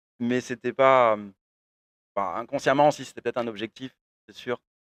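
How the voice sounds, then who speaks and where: A man's medium-pitched voice, dry and close with no echo. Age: 20s. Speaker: professional poker player. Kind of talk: interview. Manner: hesitant, many fillers.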